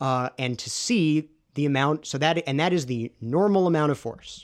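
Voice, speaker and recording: This man has a normal speaking voice, a fairly high pitch and lively intonation, captured in a very clean recording with a silent background. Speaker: research analyst and podcast co-host. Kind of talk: heated debate. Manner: interrupting, rapid-fire.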